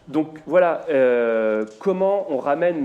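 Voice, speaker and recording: A man's lively intonation carries over noticeable background noise. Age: young. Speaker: talk show host. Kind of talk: talk show discussion.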